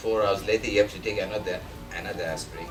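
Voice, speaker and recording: A man with a non-native accent over noticeable background noise. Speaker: Alzheimer's medical researcher. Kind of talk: lecture talk.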